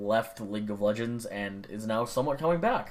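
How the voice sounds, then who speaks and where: A man's voice with audible room echo. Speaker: gaming vlogger. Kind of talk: casual monologue.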